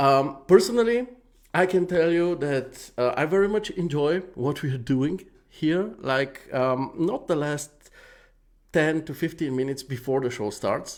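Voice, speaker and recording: In a very clean recording with a silent background, a man with a fairly high pitch speaks at a fairly slow pace with lively intonation. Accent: non-native. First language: not English. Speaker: live show host giving feedback on 3D renders. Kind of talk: live stream commentary. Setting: live stream with chat. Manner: hesitant, many fillers.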